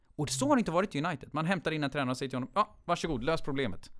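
Very fast and fairly high in pitch, a man's voice with vocal fry comes through in a very clean recording with a silent background. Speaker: football fan guest. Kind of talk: casual chat.

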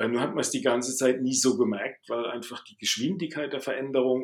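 A man at a medium pitch and a fairly quick pace. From Baden, southwest Germany. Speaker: management consultant. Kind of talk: interview.

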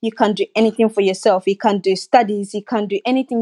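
The voice has a dark, mellow tone against a quiet background. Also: woman. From West Africa (Sierra Leone). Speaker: social worker and campaigner. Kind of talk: casual interview. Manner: loud, abrupt, animated.

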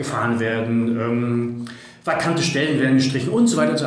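Audible room echo surrounds a man speaking at a moderate pace. Noticeable background noise runs underneath. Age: 40s. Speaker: data and organisational development expert. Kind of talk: casual interview conversation.

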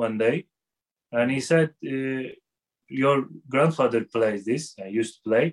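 The sound is dry and close with no echo as the speaker talks very slowly in a Turkish accent. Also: man. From Turkey, Istanbul. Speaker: music teacher. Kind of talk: interview. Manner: halting.

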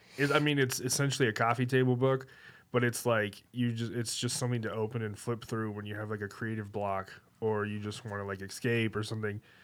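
A man with an American accent speaks at a fairly quick pace in an unremarkable speaking voice, his medium pitch and fairly even intonation captured on a very clean recording with a silent background. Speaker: podcaster and author. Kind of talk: casual chat.

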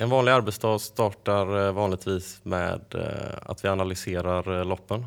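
On a very clean recording with a silent background, a man uses a normal speaking voice with a fairly low pitch and fairly even intonation. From western Sweden, Varberg. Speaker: odds setter. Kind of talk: interview.

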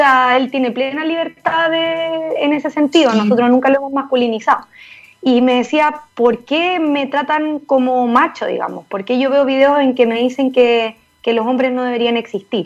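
The woman's high voice moves along at a moderate tempo. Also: ordinary pitch variation. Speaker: lawyer and mayoral candidate. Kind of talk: interview.

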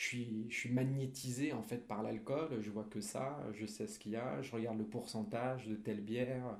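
With audible room echo, a man of medium pitch speaks at a fairly slow pace with fairly even intonation. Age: 20s. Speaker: recovering alcoholic, author. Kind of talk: testimony. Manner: halting, many repetitions.

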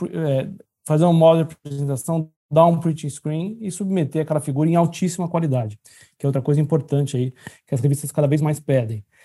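A man talks at a fairly quick pace with a fairly high pitch, ordinary pitch variation and a dark, mellow, somewhat breathy tone. The recording is very clean, with a silent background. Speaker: orthopedic surgeon. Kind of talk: casual chat.

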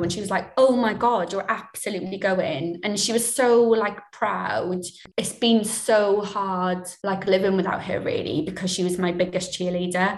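A woman in a Swansea accent speaks with hardly any pauses and fairly even intonation. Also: medium pitch for a woman, moderate pace. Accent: Welsh, Swansea. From Swansea, Wales. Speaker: television series producer. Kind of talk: radio interview, personal reflective chat.

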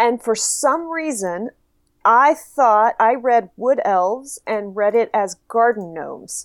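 Speaking at a very slow pace with an American accent, a woman uses a fairly high pitch and lively intonation on a very clean recording with a silent background. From Texas. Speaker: games writer and reviewer. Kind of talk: casual chat.

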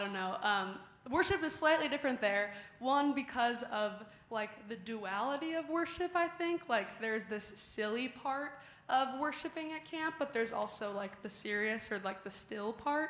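Moderately paced, lively speech in a Midwestern accent over noticeable background noise. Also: woman. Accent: general American, Midwestern. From Chicago suburbs, US Midwest. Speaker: youth leader. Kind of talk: casual testimony in church. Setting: church.

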